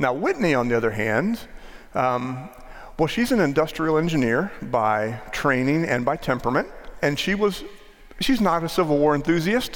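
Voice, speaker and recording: Speaking at a moderate pace with an American accent, a man uses a fairly high pitch with very wide swings, his loudness very even and some room echo audible. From US, northwest Maryland. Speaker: pastor. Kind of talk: sermon. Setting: church.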